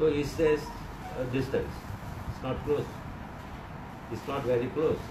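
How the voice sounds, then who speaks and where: Noticeable background noise sits behind a man talking at a moderate pace. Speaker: spiritual teacher. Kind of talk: sermon. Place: home room. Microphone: phone near.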